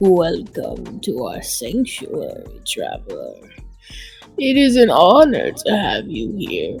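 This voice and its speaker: A put-on character voice speaks at a fairly slow pace. Faint music sits in the background. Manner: formal, courteous.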